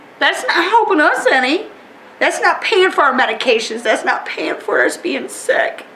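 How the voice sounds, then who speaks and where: Over noticeable background noise and audible room echo, a woman talks in an extremely high pitch with very wide pitch swings. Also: moderate pace. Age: 40s. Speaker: oil spill affected resident. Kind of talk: emotional testimony. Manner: animated.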